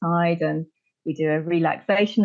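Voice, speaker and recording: A woman with a normal speaking voice talks at a moderate pace and a fairly low pitch, her intonation fairly even. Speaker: Pilates teacher and podcast host. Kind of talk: podcast interview talk.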